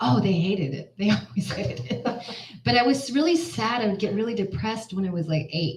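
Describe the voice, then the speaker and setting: Speaking at a fairly quick pace, a woman with an American accent and a medium pitch makes very wide pitch swings. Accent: Texan, sometimes, usually hidden. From US, Houston, Texas. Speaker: singer-songwriter. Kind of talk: interview conversation.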